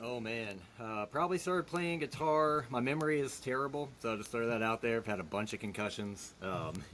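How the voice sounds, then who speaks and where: A man with an American accent and an unremarkable speaking voice, medium in pitch, lively in intonation, fairly quick, with hardly any pauses. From Virginia, Hampton Roads area. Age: 30s. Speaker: guitar repair technician. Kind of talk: casual interview chat.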